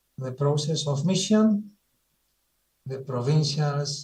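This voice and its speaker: Somewhat breathy, a man with a dark, mellow tone and a fairly high pitch speaks at a fairly slow pace. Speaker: Jesuit presenter. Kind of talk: presentation. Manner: halting; methodical.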